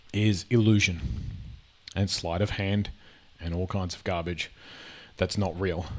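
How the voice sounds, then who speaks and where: This man has a very deep, low voice and an Australian accent. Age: 40s. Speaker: gaming and reaction video creator. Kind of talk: casual commentary reacting to videos. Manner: halting, with many fillers and repetitions.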